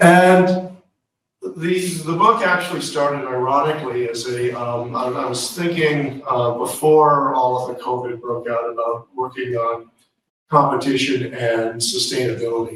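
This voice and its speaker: In a room with audible echo, a man of medium pitch talks at a fairly slow pace with ordinary pitch variation. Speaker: law professor. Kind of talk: lecture. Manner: halting with many fillers.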